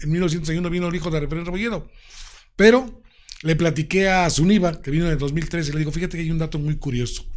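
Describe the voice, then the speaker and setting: Very fast and animated, a man speaks with ordinary pitch variation. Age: 60s. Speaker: radio announcer and presenter. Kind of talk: interview.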